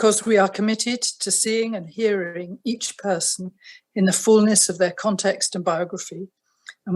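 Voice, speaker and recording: A somewhat breathy woman at a medium pitch, with fairly even intonation and a moderate pace. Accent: British. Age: 70s. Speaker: retired family doctor. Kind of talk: testimony. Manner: formal.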